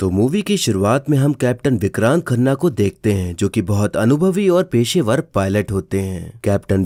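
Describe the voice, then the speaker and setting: On a very clean recording with a silent background, a man with a dark, mellow tone speaks with very wide pitch swings in a dry, close sound with no echo. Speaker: movie explainer YouTuber. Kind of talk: movie plot narration.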